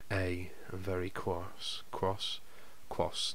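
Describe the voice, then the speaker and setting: A man talks in a very deep, low pitch while noticeable background noise plays behind him. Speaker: fiction narrator. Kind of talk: audiobook narration with flubbed takes. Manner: flustered, repeating words after stumbles, swearing.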